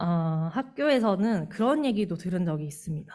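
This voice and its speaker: A woman's somewhat breathy, dark, mellow voice in a Gyeongsang accent, with lively intonation. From Gyeongsang region, Korea. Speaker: church member, teacher. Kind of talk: lay testimony at church service. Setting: church.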